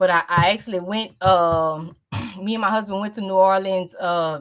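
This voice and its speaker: A woman speaks with a Louisiana accent at a medium pitch. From US South, Louisiana (New Iberia). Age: 30s. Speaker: author. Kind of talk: interview.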